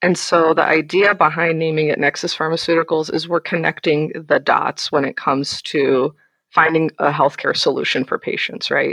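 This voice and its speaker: A woman with an unremarkable speaking voice talks at a moderate pace, a fairly low pitch and fairly even intonation. The sound is dry and close, with no echo. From United States, raised by Pakistani immigrant parents. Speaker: company general counsel. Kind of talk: interview conversation.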